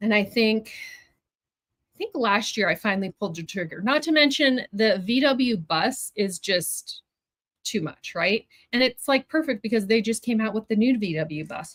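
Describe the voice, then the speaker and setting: A woman with an ordinary speaking voice and a fairly high pitch talks at a moderate pace, with a dry, close sound and no echo. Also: lively intonation. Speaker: fabric club owner, sewing livestream host. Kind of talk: livestream product reveal, casual chat with viewers. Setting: live stream. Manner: chatty, upbeat.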